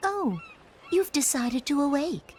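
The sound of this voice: In a put-on character voice with a slightly mellow tone, the speaker goes at a slow pace with big pitch swings. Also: woman, high pitch for a woman.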